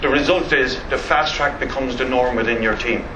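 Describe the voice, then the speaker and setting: Noticeable background noise and audible room echo surround this recording. A man speaks in an Irish accent at a fairly quick pace. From Ireland. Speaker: network marketing distributor. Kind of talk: motivational talk. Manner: fast; enthusiastic.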